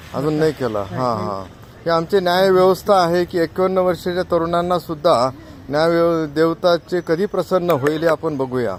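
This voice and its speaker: His pitch varies in an ordinary way. This man's voice sits high. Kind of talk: street interview. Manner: casual.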